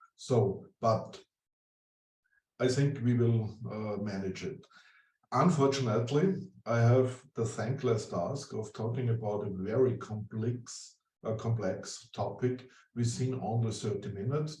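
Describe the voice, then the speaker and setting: A man speaks at a fairly slow pace and medium pitch with an Austrian accent and ordinary pitch variation. His dark, mellow tone is somewhat breathy, with audible room echo. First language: German. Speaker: urban development consultant. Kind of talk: presentation. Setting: online conference.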